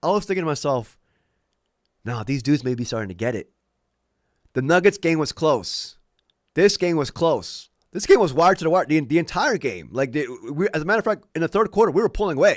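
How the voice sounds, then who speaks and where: A man talks very fast in a fairly high voice with vocal fry, an animated tone and lively intonation, breaking often into long pauses. The recording is very clean, with a silent background. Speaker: sports fan livestreamer. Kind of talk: casual livestream commentary. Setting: at home, live stream.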